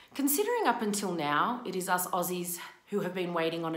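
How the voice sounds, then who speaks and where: In a room with audible echo but a quiet background, a woman talks at a moderate pace. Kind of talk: reading a prepared open statement. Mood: frustrated, earnest. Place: home room. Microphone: phone near.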